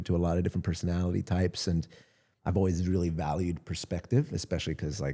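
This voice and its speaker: Very fast, very deep male speech in a Southern Californian accent, dark and mellow in tone, with ordinary pitch variation, on a very clean recording with a silent background. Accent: Southern Californian American. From US West Coast (San Gabriel Valley, Los Angeles). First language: Spanish. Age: 40s. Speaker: content creator. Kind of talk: casual chat.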